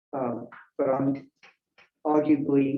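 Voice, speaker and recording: Pitched fairly high, a man speaks very slowly in a dark, mellow tone. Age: 70s. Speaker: public commenter at school board meeting. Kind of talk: public comment speech.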